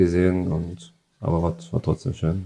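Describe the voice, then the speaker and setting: A man speaks in a very deep, low pitch with a flat, monotone delivery. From Saxony, Freiberg. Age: 30s. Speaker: football goalkeeper. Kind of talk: interview.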